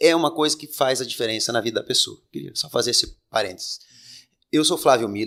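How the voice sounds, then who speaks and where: The speech runs at a fairly quick pace. Its loudness swings widely. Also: man. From Rio Grande do Sul, Brazil. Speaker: political candidate and lawyer. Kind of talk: interview. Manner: halting.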